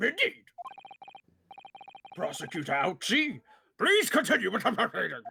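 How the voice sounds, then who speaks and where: In a put-on character voice with a fairly high pitch, the speaker moves at a moderate pace but leaves long, frequent pauses. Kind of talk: formal courtroom speech. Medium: game stream.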